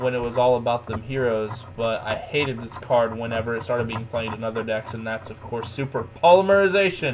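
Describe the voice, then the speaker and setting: A man with an American accent, medium pitch, ordinary pitch variation and big swings in loudness, with music in the background. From Oklahoma. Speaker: YouTuber reviewing trading card games. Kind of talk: casual chat. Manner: animated, laughs often.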